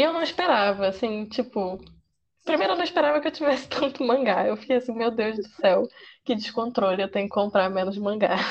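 Lively intonation marks a woman's fairly high voice at a fairly quick pace. It is an ordinary speaking voice. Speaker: manga columnist and psychology student. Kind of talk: casual chat.

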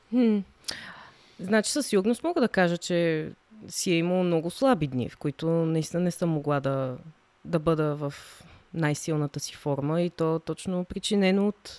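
At a moderate pace, a woman speaks in a fairly low pitch with ordinary pitch variation, the sound dry and close with no echo. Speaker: professional dancer. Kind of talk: casual chat.

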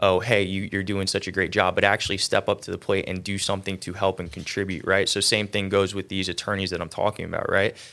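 A man with a fairly low pitch and a bright, sharp tone talks very fast in an American accent, with monotone, flat intonation and hardly any pauses. The recording is very clean, with a silent background. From Central Florida. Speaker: attorney. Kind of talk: casual interview.

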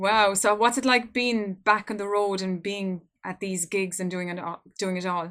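With an Irish accent, a woman speaks at a moderate pace and medium pitch, her intonation fairly even. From Ireland. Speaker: podcast host. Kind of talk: interview.

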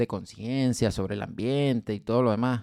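The speech is fairly slow, with ordinary pitch variation, in a dry, close sound with no echo. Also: man. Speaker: podcast co-host. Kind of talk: casual chat.

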